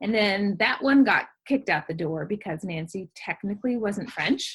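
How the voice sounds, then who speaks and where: This woman talks at a moderate pace with lively intonation and a slight Southern US accent. Her voice is somewhat breathy and medium in pitch. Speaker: novelist. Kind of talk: interview.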